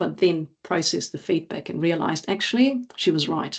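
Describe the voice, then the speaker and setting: Vocal fry at a fairly quick pace. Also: woman. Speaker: agile coach and former Olympic athlete. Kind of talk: conference talk.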